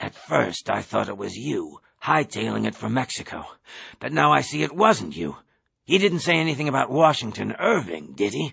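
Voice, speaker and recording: Using a put-on character voice, a man speaks at a medium pitch and a moderate pace, sounding raspy. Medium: read story. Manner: conspiratorial, overeager.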